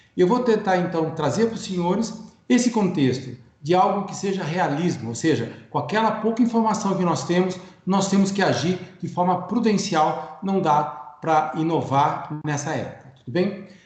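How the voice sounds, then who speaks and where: Over noticeable background noise and audible room echo, a man with a high pitch speaks at a moderate pace with ordinary pitch variation. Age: 60s. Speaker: economist and cooperative consultant. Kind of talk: webinar lecture. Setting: online webinar.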